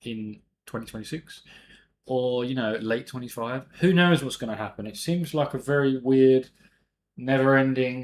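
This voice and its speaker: Speaking with a British accent at a moderate pace, a man uses a medium pitch and ordinary pitch variation in a very clean recording with a silent background. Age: 30s. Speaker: amateur investing youtuber. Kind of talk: casual vlog monologue. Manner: casual, chatty.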